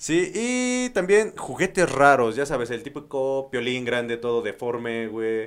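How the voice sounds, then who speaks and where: A man's plain, everyday voice, medium in pitch, with lively intonation at a fairly slow pace and hardly any pauses. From Mexico, Tlaxcala. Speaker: podcast co-host. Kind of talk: casual chat.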